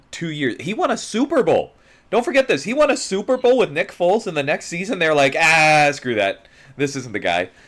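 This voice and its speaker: This man's voice is pitched high. His pitch swings very widely. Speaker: sports podcast co-host. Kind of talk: casual chat. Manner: casual, filler-heavy.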